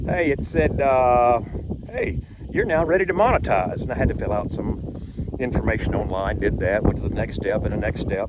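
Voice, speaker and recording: A man talks at a moderate speed while background noise is clearly heard. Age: 60s. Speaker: YouTuber. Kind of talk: casual vlog monologue. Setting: outdoors on a boardwalk.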